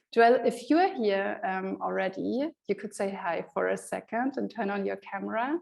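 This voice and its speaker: The pace here is moderate. A woman talks in a German accent. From Germany. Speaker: conference moderator. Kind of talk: event moderation. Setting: online conference via video call.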